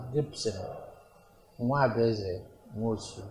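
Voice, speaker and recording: A man in a Nigerian accent with lively intonation, against noticeable background noise and audible room echo. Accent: Nigerian Igbo English. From Nigeria, Igbo, Awka in Anambra. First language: Igbo. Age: 80s+. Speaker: traditional ruler. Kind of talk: interview. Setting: palace.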